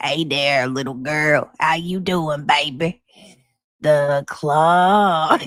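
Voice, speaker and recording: This put-on character voice sits at a middle pitch and sounds guttural and strained, delivered at a very slow pace. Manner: flirtatious, smarmy.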